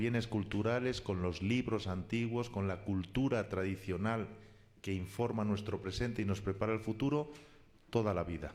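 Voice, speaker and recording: A man with a Spanish accent, fairly low pitch, ordinary pitch variation and a moderate pace. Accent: Spanish (Spain). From Spain. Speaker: philologist and cultural heritage collaborator. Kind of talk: radio interview.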